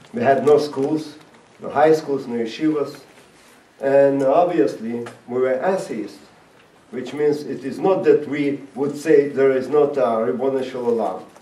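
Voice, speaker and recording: Amid noticeable background noise and audible room echo, a man with a fairly high pitch talks at a fairly slow pace with ordinary pitch variation. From Latvia (Riga). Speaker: rabbi and former Soviet prisoner. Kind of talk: talk to an audience. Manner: halting.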